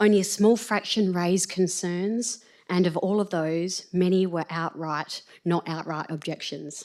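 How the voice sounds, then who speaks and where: In a very clean recording with a silent background, a woman with an Australian accent speaks at a medium pitch, at a fairly slow pace and with fairly even intonation. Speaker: business chamber representative. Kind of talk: public submission at council meeting. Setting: council chamber. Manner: formal.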